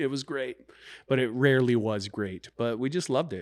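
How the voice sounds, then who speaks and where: In a very clean recording with a silent background, a man with a US Midwestern accent speaks at a medium pitch. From Kansas, US. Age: 30s. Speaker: wrestling coach and retired pro wrestler. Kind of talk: casual interview chat.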